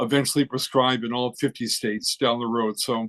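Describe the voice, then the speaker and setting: A man talks in a monotone, flat intonation, with a dry, close sound and no echo. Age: 70s. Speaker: licensed psychologist, advisory committee member. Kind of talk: committee meeting discussion. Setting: conference call. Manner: halting, with many fillers.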